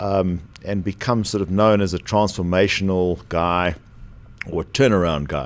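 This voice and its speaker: A man with a South African accent, his pitch very deep and low, with ordinary pitch variation. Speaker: former aerospace company executive. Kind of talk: podcast interview.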